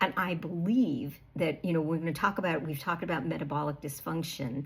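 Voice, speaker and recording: Somewhat breathy woman's voice with an American accent and fairly even intonation. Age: 60s. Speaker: health coach. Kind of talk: casual talk to camera. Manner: conversational with fillers.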